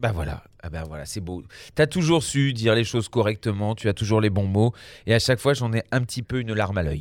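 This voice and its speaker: A man's fairly low voice at a very fast pace, with lively intonation, in a very clean recording over a silent background. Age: 40s. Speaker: radio host. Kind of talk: casual radio chat. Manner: halting.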